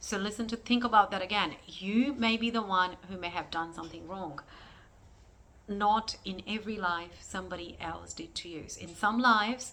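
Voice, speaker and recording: A woman with a non-native accent speaks at a moderate pace with a medium pitch and a bright, sharp tone. Her pitch variation is ordinary, while her loudness swings widely. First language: not English. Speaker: spiritual astrologer. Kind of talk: spiritual teaching monologue. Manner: halting, searching for words.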